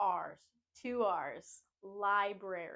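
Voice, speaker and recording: A woman with a New England accent, medium in pitch, with ordinary pitch variation. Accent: American New England. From US New England, Maine. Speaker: English teacher. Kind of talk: pronunciation tutorial. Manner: slow, clear enunciation.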